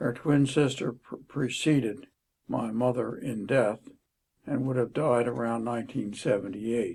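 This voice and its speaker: The speaker talks at a fairly slow pace with an American accent. The voice is somewhat breathy, with ordinary pitch variation. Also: man. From Maryland (Havre de Grace). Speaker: lawyer. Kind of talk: interview.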